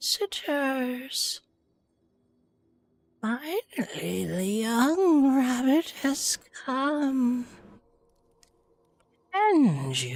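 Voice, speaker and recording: A put-on character voice, raspy and high-pitched, with a sinister tone. It crawls at a very slow pace, broken by long, frequent pauses. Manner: sinister, sickly.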